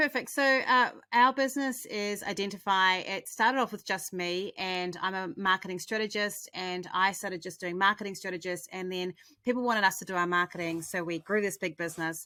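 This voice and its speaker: A woman with a New Zealand accent, fairly quick, with a bright, sharp tone on a very clean recording with a silent background. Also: medium pitch for a woman, ordinary pitch variation. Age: 50s. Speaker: marketing strategist, agency owner. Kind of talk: interview answers.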